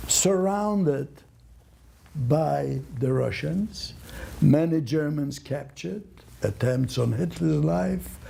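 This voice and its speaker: The man speaks at a very slow pace. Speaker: Holocaust survivor. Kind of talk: talk answering audience questions.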